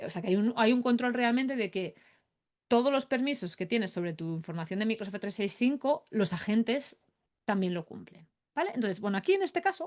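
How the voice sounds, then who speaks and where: Animated in tone, a woman talks at a very fast pace with a fairly high pitch and lively intonation. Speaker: AI productivity expert. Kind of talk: webinar demo tutorial. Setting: online webinar.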